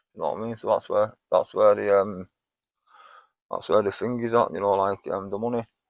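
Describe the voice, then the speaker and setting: A man with a Manchester accent at a fairly quick pace, broken by long, frequent pauses. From northern England. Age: 50s. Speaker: homeless man, recovering heroin user. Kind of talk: interview. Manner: repetitive, halting.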